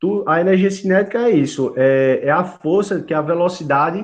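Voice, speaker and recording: This high-pitched man speaks with lively intonation at a fairly slow pace. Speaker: university lecturer. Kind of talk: lecture.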